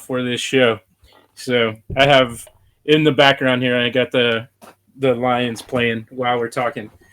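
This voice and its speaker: In a Western Pennsylvania accent, a man speaks at a moderate pace with a bright, sharp tone. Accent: Western Pennsylvania (yinzer). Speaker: podcast host. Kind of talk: casual interview chat.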